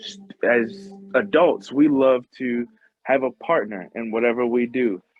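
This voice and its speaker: Music plays in the background. The pace is very slow. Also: man. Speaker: community organizer. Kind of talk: advocacy presentation. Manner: halting, many fillers.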